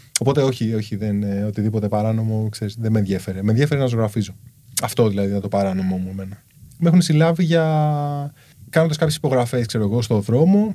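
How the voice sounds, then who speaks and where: With a dark, mellow tone at a medium pitch, a man talks at a very fast pace with lively intonation. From Greece, Kallithea (Athens). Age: 30s. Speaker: street artist. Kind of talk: casual chat.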